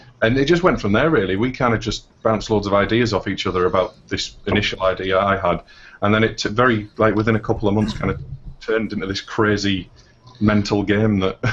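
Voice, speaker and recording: A man with an English accent speaks in a fairly low pitch and a fairly even intonation over noticeable background noise. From northeast England. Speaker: indie game developer. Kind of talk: interview. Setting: live stream.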